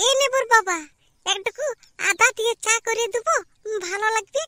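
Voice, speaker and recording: A woman does a cartoonish character voice at an extremely high pitch and moderate pace, with a dry, close sound and no echo. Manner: sharp, scolding.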